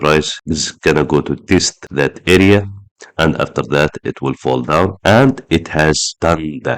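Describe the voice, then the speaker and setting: The speaker's voice carries vocal fry and ordinary pitch variation. The sound is dry and close, with no echo. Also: man. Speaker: trading analyst. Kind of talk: market analysis tutorial.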